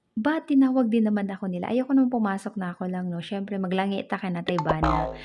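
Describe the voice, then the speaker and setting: This woman's voice is medium in pitch with a dark, mellow tone and is somewhat breathy. She moves at a fairly quick pace with ordinary pitch variation. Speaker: vlogger. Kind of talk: vlog voice-over.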